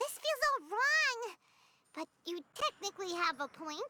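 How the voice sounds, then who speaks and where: A squeaky put-on character voice at an extremely high pitch swings very widely in pitch while moving at a fairly slow pace. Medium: video game. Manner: casual, outspoken.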